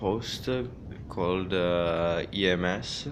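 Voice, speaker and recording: A man is speaking. Room echo can be heard. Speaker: gaming hardware reviewer. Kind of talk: unboxing tutorial. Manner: halting, many fillers.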